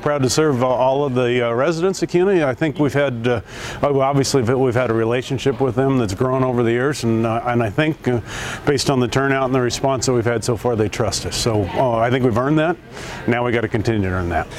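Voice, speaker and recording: A man speaks at a fairly quick pace with medium pitch, ordinary pitch variation and very even loudness. Noticeable background noise sits behind him. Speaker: company president and CEO. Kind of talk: speech at store opening.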